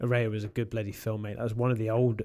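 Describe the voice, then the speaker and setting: A man speaks in a dark, mellow tone at a fairly low pitch. His intonation is monotone and flat against a quiet background. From England. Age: 40s. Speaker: YouTube paranormal creator. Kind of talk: casual chat. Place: studio. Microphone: studio mic.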